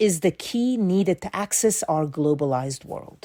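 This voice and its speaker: In a very clean recording with a silent background, a woman's dark, mellow voice sounds dry and close, with no echo. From Italy, then raised in Denmark. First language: Italian. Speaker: journalist. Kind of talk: scripted narration. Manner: clear careful diction.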